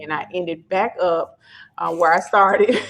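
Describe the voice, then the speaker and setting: Here a woman speaks in a Memphis accent at a medium pitch. Her intonation stays fairly even. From Memphis, Tennessee (US South). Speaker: staffing company founder. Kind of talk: podcast interview.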